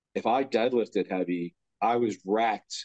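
A man with a fairly low pitch, fairly even intonation, an ordinary speaking voice, and dry, close sound with no echo. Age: 40s. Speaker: strongman athlete and podcast co-host. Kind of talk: casual chat.

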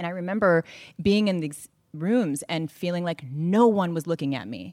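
Using a plain, everyday voice, a woman with an American accent talks at a moderate pace in a fairly low pitch with ordinary pitch variation, the sound dry and close with no echo. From Northern California. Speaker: author. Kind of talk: onstage interview. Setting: stage with audience.

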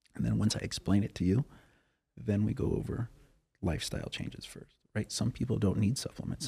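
A man with an American accent speaks at a fairly quick pace, his pitch fairly low and his tone dark and mellow. He has lively intonation and vocal fry. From Wyoming, US. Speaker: chiropractor. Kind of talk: casual interview chat. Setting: podcast studio. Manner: animated.

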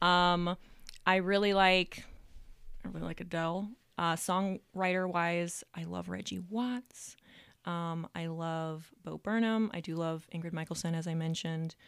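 A plain, everyday voice, a woman with an American accent, fairly low in pitch, fairly slow and fairly even in intonation, on a very clean recording with a silent background. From Reno, Nevada, US West. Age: 20s. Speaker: singer, songwriter and comedian. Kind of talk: casual interview.

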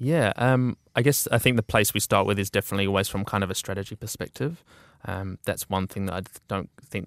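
A man with a New Zealand accent at a very fast pace, fairly low pitch and ordinary pitch variation, on a very clean recording with a silent background and a dry, close sound with no echo. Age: 20s. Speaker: creative agency founder. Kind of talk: interview.

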